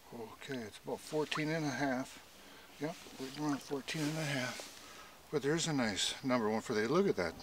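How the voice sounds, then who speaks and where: The man's voice sounds dry, with no echo. Noticeable background noise runs behind him. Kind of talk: casual fishing commentary. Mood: pleased, curious. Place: waterside. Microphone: phone near.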